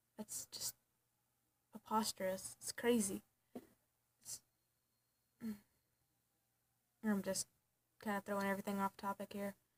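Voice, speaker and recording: A soft-spoken, somewhat breathy woman at a medium pitch, monotone and flat, at a moderate pace with long, frequent pauses, in a dry, close sound with no echo. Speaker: vlogger. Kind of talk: personal vlog. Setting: at home at night. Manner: halting.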